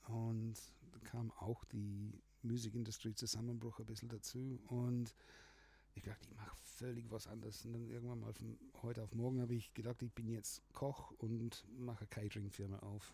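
A man's dark, mellow voice, somewhat breathy, in a flat monotone. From Australia. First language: English (speaking German). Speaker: music producer. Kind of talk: casual chat. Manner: halting.

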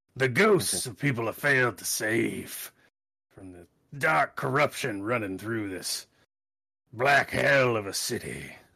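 Using a put-on character voice, a man sounds raspy and weary in tone, with lively intonation. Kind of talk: noir detective monologue. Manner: gruff, brooding, world-weary.

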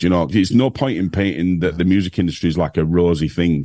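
This man has a very deep, low pitch and a dark, mellow tone, with fairly even intonation. The background is quiet. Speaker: music industry figure. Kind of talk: casual interview chat.

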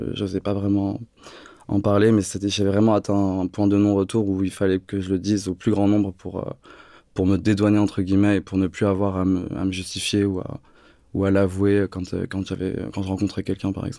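A man speaks at a moderate pace in a flat monotone, his fairly low voice dark and mellow, on a very clean recording with a silent background. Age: 30s. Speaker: fitness coach, model and HIV activist. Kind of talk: interview. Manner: hesitant, many fillers.

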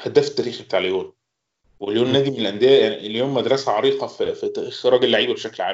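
The speech comes at a very fast pace. Its loudness swings widely. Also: man. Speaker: football fan pundit. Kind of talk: casual chat.

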